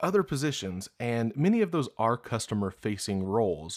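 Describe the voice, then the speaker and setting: A Southern US accent at a moderate pace on a very clean recording with a silent background. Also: man. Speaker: podcast host. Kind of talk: podcast monologue.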